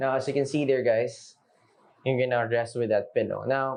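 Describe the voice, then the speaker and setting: A man talks at a moderate pace. He has a Filipino accent. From Philippines, Manila. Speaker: product review vlogger. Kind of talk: casual product review. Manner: unscripted, with frequent fillers and restarts.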